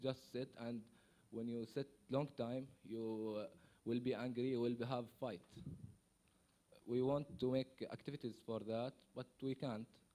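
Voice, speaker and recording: A man with a dark, mellow tone speaks at a fairly slow pace. His intonation is monotone and flat, with long, frequent pauses. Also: medium pitch for a man. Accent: Arabic. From Syria, Palestinian refugee. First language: Arabic. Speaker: refugee. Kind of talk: conference testimony. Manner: halting, hesitant.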